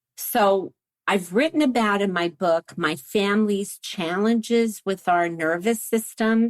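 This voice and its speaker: A woman with an American accent and an unremarkable speaking voice talks fairly slowly at a medium pitch with lively intonation, in a dry, close sound with no echo. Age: 60s. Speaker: sex therapist and neuroscience researcher. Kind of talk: interview conversation.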